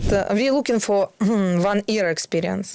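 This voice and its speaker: A woman with a Ukrainian accent at a moderate pace, ordinary pitch variation, noticeable background noise, and a dry, close sound with no echo. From Ukraine. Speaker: fashion and PR professional. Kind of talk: interview answer.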